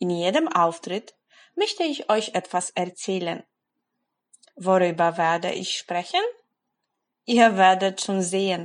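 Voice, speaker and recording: A woman at a medium pitch speaks at a very slow pace, with long, frequent pauses. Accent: Polish. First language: Polish (speaking German). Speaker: German language blogger. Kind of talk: motivational monologue for language learners.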